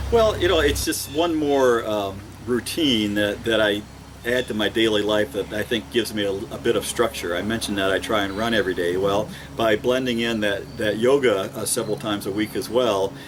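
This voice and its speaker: Over noticeable background noise, a man speaks at a fairly quick pace. His pitch varies in an ordinary way. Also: fairly low pitch for a man. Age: 60s. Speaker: small-town mayor, retired public health worker. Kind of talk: testimonial. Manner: hesitant, with fillers and repeats.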